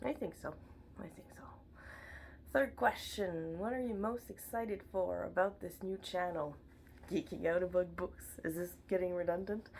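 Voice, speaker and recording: A woman with a slight French accent speaks at a moderate pace in a medium pitch, with ordinary pitch variation, big swings in loudness, and long, frequent pauses. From Montreal, Quebec. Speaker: book vlogger. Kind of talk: casual chat. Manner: animated.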